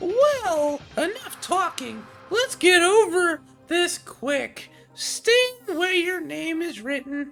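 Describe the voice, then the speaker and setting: A put-on character voice at a very slow pace, with faint music in the background. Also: woman, extremely high pitch for a woman. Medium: game stream. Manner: mocking, theatrical.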